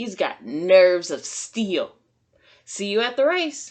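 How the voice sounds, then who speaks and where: A woman's growling, put-on character voice at a medium pitch, fairly slow, with very wide pitch swings. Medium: read story.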